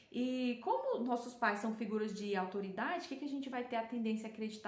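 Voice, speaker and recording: A woman with a Goiás accent talks at a fairly quick pace and a high pitch. Audible room echo and noticeable background noise are present in the recording. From Brazil, Goiás. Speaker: self-development speaker. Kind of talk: talk to viewers. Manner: hesitant, many fillers.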